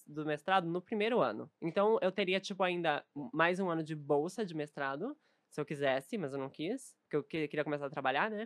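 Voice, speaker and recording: A woman with an ordinary speaking voice, fairly low in pitch, with lively intonation at a moderate pace, on a very clean recording with a silent background and dry, close sound with no echo. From southern Brazil, Novo Hamburgo (Rio Grande do Sul). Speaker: streamer and content creator. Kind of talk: casual chat.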